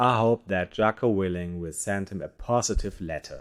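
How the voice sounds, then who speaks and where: A man with a non-native accent speaks at a moderate pace in a fairly low pitch with fairly even intonation. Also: very clean recording, silent background. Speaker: podcast host. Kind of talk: satirical news monologue.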